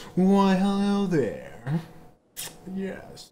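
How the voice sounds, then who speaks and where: This is a put-on character voice. Its pitch sits in the middle range. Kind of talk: refined, polite. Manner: mock-sophisticated.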